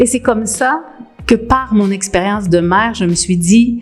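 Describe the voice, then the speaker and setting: Over music in the background, a woman with a Quebec accent speaks at a fairly slow pace with ordinary pitch variation. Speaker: pastoral worker. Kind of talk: interview testimony. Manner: hesitant, with fillers.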